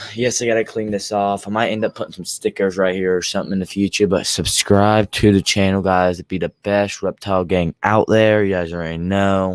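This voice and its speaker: A man with a fairly low pitch talks at a fairly quick pace with hardly any pauses and monotone, flat intonation, in a dry, close sound with no echo on a very clean recording with a silent background. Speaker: YouTube live streamer, reptile keeper. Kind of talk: casual live stream chat. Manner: usually loud. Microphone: new microphone, first time using it.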